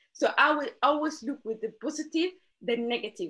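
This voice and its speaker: A woman with a non-native accent speaks at a moderate pace. Her intonation is lively. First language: not English. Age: 20s. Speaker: interview guest. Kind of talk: motivational talk. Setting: video call. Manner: animated.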